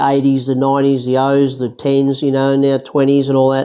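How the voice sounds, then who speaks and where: Over noticeable background noise, a man with an Australian accent speaks at a moderate pace and a fairly high pitch. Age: 60s. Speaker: interviewee sharing life experience. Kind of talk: casual chat.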